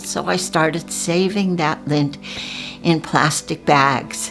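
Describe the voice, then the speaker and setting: Over music in the background, a woman talks at a very slow pace, her fairly low pitch showing ordinary variation. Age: 80s+. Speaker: artist. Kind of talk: casual chat.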